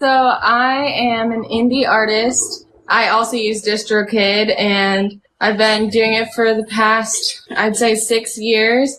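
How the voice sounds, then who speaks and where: A woman with an American accent, bright and sharp in tone, very slow and flat, with a monotone delivery and very even loudness. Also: fairly high pitch for a woman. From US South, North Carolina (Charlotte). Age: 20s. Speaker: singer-songwriter. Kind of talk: casual interview. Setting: video call live stream from home.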